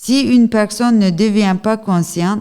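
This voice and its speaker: A dark, mellow tone in a Turkish accent, with ordinary pitch variation and a very slow pace. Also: woman. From Turkey. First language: Turkish (speaking French). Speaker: activist and journalist. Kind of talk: testimony. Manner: halting.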